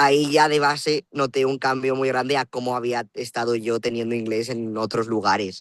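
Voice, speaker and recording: At a moderate pace, a man uses an ordinary speaking voice at medium pitch with fairly even intonation. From Spain, La Rioja (Logroño). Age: 20s. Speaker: student. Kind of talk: interview.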